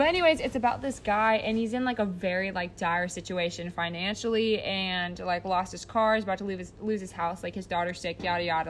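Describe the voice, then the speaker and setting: A normal speaking voice from a woman with an American accent, medium pitch, ordinary pitch variation, and a fairly quick pace with hardly any pauses. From United States. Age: 19. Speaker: college volleyball player. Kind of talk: casual chat.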